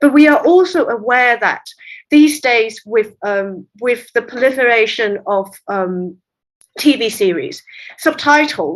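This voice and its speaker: A woman with a Cantonese accent speaks at a high pitch and a fairly slow pace, her pitch swinging very widely. The recording is very clean with a silent background. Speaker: literary translator. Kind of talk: interview conversation.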